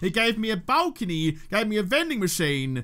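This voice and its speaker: A man with an Australian accent speaks in a high, bright, sharp voice. His pitch swings very widely. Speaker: gaming YouTuber. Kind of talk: let's play commentary. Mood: playful, mildly frustrated. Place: home room. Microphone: studio mic.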